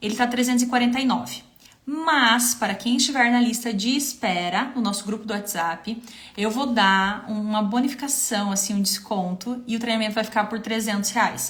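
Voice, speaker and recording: A woman talks in a normal speaking voice at a fairly high pitch. Her pace is moderate and her intonation fairly even. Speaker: visual merchandising consultant and trainer. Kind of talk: live stream Q&A with sales pitch. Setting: Instagram live stream.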